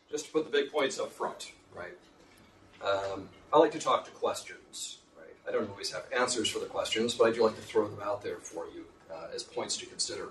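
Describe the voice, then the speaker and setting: Delivered at a fairly quick pace, the speech shows big swings in loudness against audible room echo. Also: man. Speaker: professor. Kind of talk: lecture.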